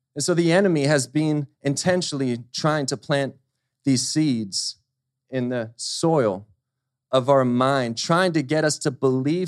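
An ordinary speaking voice from a man, fairly high in pitch with ordinary pitch variation, at a fairly slow pace against a quiet background. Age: 30s. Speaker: preacher. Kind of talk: sermon. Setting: church service with congregation.

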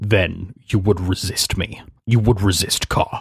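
Booming and fairly low-pitched, a man delivers a put-on character voice at a fairly slow pace. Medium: actual play. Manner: cold, menacing, commanding.

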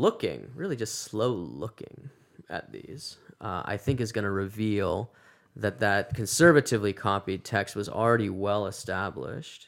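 In a very clean recording with a silent background, a man with an American accent uses an ordinary speaking voice at medium pitch and moderate pace, with big swings in loudness. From Massachusetts. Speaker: seminary professor. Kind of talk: casual interview.

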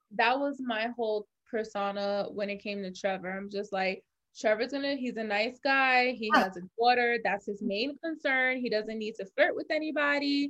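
A woman with a New York accent speaks at a moderate pace against a quiet background. Her voice is fairly high, with ordinary pitch variation. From US Northeast, New York (Bronx). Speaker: reality show winner, entrepreneur. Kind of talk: casual chat.

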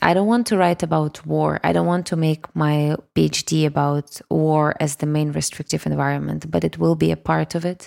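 A woman speaks in a Russian accent at a moderate pace, with hardly any pauses and very even loudness. The recording is very clean, with a silent background. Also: dry, close sound with no echo. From Kyiv, Ukraine. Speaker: singer-songwriter and music producer. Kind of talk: interview.

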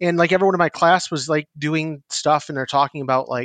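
A man with an American accent speaks in an ordinary speaking voice with fairly high pitch. The sound is dry and close with no echo, over a quiet background. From northern New York, near Canadian border. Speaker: psychiatric nurse practitioner. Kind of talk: podcast interview.

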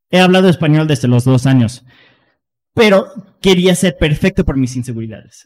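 A man with an ordinary speaking voice, fairly high pitch, ordinary pitch variation and a fairly quick pace. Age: 30s. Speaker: personal development podcast host. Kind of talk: casual chat.

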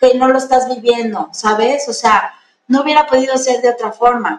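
A woman speaks in a high voice at a moderate pace. Her pitch varies an ordinary amount. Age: 40s. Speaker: gynecologist. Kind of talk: interview.

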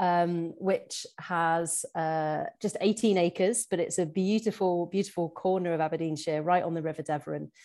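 Against a quiet background, a woman with a medium pitch speaks at a moderate pace with hardly any pauses. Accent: West Midlands. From Shropshire, England. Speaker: farmer and PhD student. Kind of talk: casual interview.

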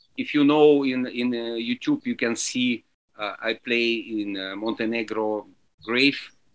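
A man with a Russian accent talks at a very slow pace and a medium pitch. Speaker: alphorn and French horn musician. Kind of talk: interview.

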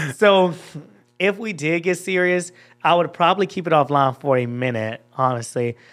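A high-pitched man with an American accent talks at a moderate pace, his lively intonation carrying an animated, playful tone. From Georgia, US. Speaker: social media creator. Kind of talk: casual interview chat. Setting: studio.

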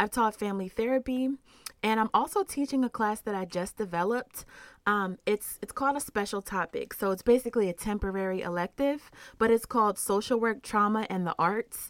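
Dry and close with no echo, a woman's fairly high voice moves at a fairly quick pace with ordinary pitch variation. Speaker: social worker and trauma researcher. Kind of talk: interview conversation.

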